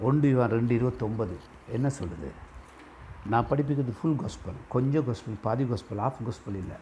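Somewhat breathy and dark, mellow in tone, a man speaks at medium pitch with ordinary variation. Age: 50s. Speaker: pastor. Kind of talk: sermon.

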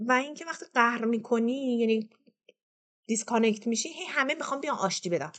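A woman with a high voice talks at a very fast pace. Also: lively intonation. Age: 40s. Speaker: storyteller sharing personal trauma. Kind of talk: personal testimony.

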